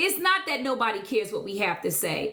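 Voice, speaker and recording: Loud and bright, sharp in tone, a woman speaks at a high pitch with very wide pitch swings. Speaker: live streamer. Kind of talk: heated live stream rant. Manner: assertive.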